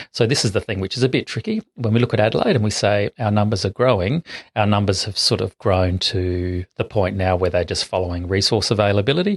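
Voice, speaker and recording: A man with an Australian accent talks at a very fast pace with hardly any pauses, his pitch fairly low and his voice somewhat breathy. The sound is dry and close with no echo, over a quiet background. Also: ordinary pitch variation. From South Australia, west coast country towns. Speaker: urban ecologist, bat expert. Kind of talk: interview. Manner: halting, many fillers.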